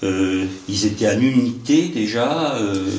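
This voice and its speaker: A man's fairly low pitch shifts in an ordinary way, with noticeable background noise behind it. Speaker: amateur interviewer. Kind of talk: interview question.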